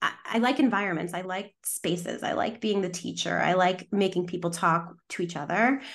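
In a quiet background, a woman with a normal speaking voice and medium pitch talks at a moderate pace with hardly any pauses and ordinary pitch variation. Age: 30s. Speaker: sexologist and matchmaker. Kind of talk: casual interview chat.

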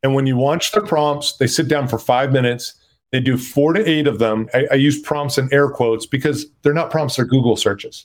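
A man with an ordinary speaking voice, fairly high-pitched, at a fairly quick pace with ordinary pitch variation. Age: 50s. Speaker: startup CEO. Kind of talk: interview.

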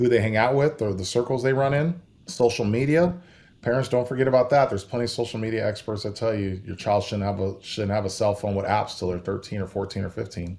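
Using a plain, everyday voice, a man talks at a fairly quick pace and a medium pitch. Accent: American. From California. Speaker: former police officer and drug trends trainer. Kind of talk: interview. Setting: video call.

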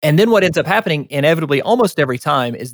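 Speaking very fast with a Southern US accent, a man with a fairly high pitch makes very wide pitch swings on a very clean recording with a silent background. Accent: Southern US (Georgia). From US South, rural northeast Georgia. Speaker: healthcare tech executive. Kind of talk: casual interview.

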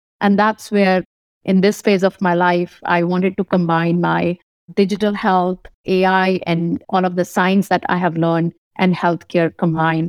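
A woman with an Indian accent speaks in a monotone with flat intonation and very even loudness, on a very clean recording with a silent background and a dry, close sound with no echo. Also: medium pitch for a woman, moderate pace. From India, northern (Kanpur, Delhi). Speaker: physician and tech company CEO. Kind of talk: interview.

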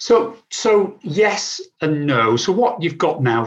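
A man with an English accent sounds somewhat breathy as his pitch swings very widely. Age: 50s. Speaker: sustainability advisor. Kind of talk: interview.

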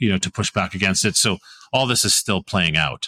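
A man with a Canadian accent and a very deep, low pitch, in a very clean recording with a silent background and a dry, close sound with no echo. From Alberta, Canada (Calgary). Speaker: renewable energy company CEO. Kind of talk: interview. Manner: halting, many fillers.

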